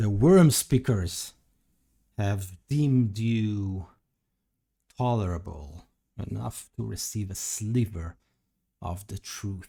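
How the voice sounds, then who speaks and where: A put-on, growling character voice from a man, fairly low in pitch and very slow, in a very clean recording with a silent background. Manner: growling, menacing, haughty.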